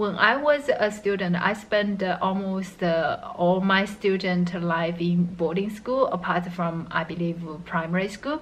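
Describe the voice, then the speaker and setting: Her pace fairly slow, a woman speaks with ordinary pitch variation. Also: medium pitch for a woman. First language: not English. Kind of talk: casual talk to camera. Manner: hesitant, many fillers.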